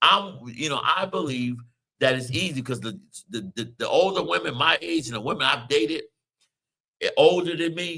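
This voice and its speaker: Speaking at a moderate pace with an American accent, a man with a fairly high pitch, very wide pitch swings, vocal fry and a bright, sharp tone. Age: 50s. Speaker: radio show host. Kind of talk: casual chat.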